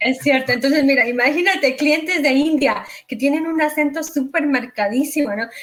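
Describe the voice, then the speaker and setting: Noticeable background noise sits behind a woman's high-pitched voice. She speaks at a moderate pace with ordinary pitch variation. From Mexico. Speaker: real estate investor and agent. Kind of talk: interview.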